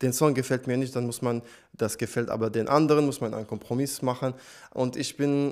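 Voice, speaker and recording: With a non-native accent, a man talks at a fairly quick pace in a monotone, flat intonation. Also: quiet background. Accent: foreign accent in German. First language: not German (speaking German). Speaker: singer; guest. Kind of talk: interview. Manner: hesitant, many fillers. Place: studio. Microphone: handheld.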